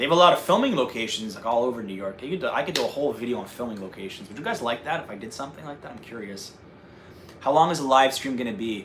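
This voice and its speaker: Audible room echo surrounds a man speaking at a very fast pace in a medium pitch. His intonation is lively and his loudness swings widely. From North Jersey. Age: 30s. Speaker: travel vlogger. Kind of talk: casual chat. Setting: livestream. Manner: animated.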